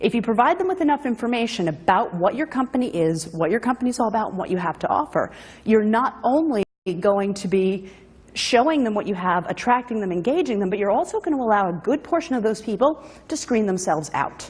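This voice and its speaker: A somewhat breathy woman with a fairly high pitch, very wide pitch swings and a very fast pace. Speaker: conference speaker. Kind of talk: conference presentation.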